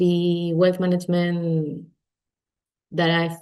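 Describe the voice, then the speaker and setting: A woman's very slow speech in a Spanish accent, fairly low in pitch, with a dark, mellow tone. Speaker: finance executive. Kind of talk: webinar panel introduction.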